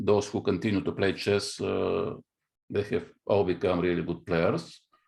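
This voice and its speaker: Against a quiet background, a man with a Bulgarian accent speaks at a moderate pace. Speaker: chess grandmaster and coach. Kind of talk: interview. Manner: halting.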